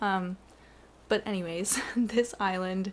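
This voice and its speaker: A woman speaks in an ordinary speaking voice at medium pitch. Her intonation is fairly even. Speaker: gaming YouTuber. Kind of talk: casual video game tour narration. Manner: chatty, self-correcting.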